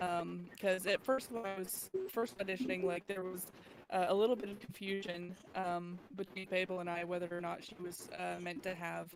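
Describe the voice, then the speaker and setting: A woman at medium pitch and moderate pace with fairly even intonation, music in the background. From Texas. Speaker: voice actor. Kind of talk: casual chat. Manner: halting.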